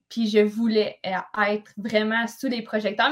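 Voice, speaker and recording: This woman has a fairly high pitch. She talks at a fairly slow pace. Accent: Quebec. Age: 20s. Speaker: podcast co-host, physical education teacher. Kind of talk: casual chat.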